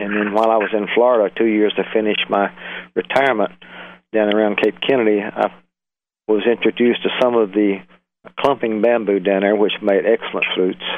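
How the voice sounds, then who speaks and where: A man speaks at a fairly quick pace with a fairly low pitch and flat, monotone intonation. Long pauses come often. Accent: Southern US. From US South, Alabama. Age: 70s. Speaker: flute maker, retired engineer. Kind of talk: interview. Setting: phone call.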